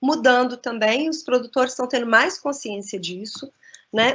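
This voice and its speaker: This woman's voice sits high in pitch. She uses lively intonation. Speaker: cheese expert and lecturer. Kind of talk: lecture. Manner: halting.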